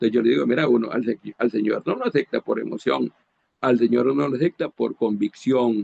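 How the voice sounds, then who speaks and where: At a moderate pace, a man with a medium pitch speaks with vocal fry. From Honduras. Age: 60s. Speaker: preacher. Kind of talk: sermon. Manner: halting, with frequent repetitions.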